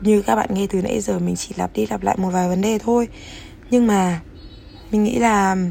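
A woman speaks at a moderate pace with long, frequent pauses, her medium-pitched voice carrying a dark, mellow tone. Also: ordinary pitch variation. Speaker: podcast host. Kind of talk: casual monologue.

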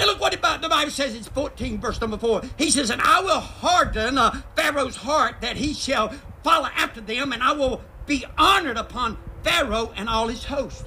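Over noticeable background noise, a man uses a raised, projected voice at an extremely high pitch, sounding animated at a moderate pace with ordinary pitch variation. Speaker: guest preacher. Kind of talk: sermon to congregation in cars, preacher in full flow, call-and-response. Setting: drive-in church, congregation in vehicles. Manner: animated, emphatic, urging, repeats phrases and invites 'amen'.

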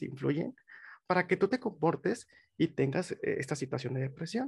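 The background is quiet, and the sound is dry and close with no echo. A man speaks at a moderate pace with lively intonation. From Mexico, Monterrey. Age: 20s. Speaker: psychologist. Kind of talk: interview.

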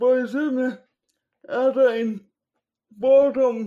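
Speaking at a very slow pace, a man has an extremely high pitch, a dark, mellow tone and fairly even intonation. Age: 20s. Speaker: podcast guest. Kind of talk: casual chat.

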